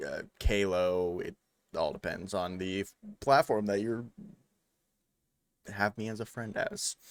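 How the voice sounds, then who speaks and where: The sound is dry and close with no echo as a man talks at a fairly slow pace, leaving long, frequent pauses. His pitch is fairly low and his intonation fairly even. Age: 20s. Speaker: podcast co-host, loan company worker. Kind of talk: casual chat.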